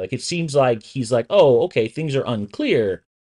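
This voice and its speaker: The voice has vocal fry and very wide pitch swings at a fairly quick pace. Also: man, dry, close sound with no echo. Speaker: co-host. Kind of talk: casual chat.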